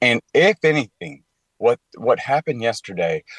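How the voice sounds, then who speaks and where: A man with a Southern US accent is recorded with a dry, close sound and no echo. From Tennessee, Clarksville. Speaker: commentator on faith and culture. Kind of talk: radio interview.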